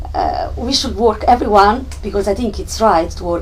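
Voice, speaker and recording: A woman speaks at a moderate pace in an Italian accent. Noticeable background noise and audible room echo come through. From Italy, Naples. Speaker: discussion attendee. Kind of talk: group discussion. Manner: hesitant.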